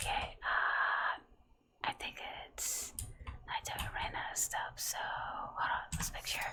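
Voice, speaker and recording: The speaker whispers at a very slow pace. Long, frequent pauses fill the speech. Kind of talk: ASMR gameplay commentary. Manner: whispered.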